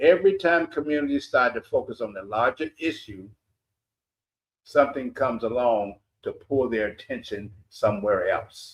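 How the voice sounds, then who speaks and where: A man's fairly high voice, animated in tone, with lively intonation at a moderate pace. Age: 60s. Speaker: talk show host and community activist. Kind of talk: opinion commentary monologue. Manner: emphatic, animated.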